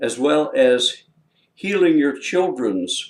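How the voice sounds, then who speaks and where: A man talks at a very slow pace. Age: 70s. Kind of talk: promotional talk to camera. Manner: casual, with many filler words.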